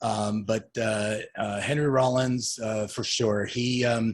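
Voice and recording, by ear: Speaking slowly, a man keeps his fairly low voice on a fairly even intonation.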